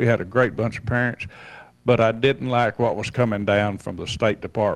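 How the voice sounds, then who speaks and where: A man speaks with a Southern US accent at a moderate pace. His pitch is fairly low and his intonation fairly even. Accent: Southern American. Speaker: retired school principal. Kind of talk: casual chat.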